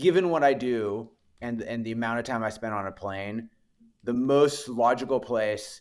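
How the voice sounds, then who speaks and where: A man talks at medium pitch and a moderate pace. His pitch varies in an ordinary way. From Canada (Winnipeg, Manitoba). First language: French. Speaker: venture capital investor. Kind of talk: podcast interview. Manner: halting, many repetitions.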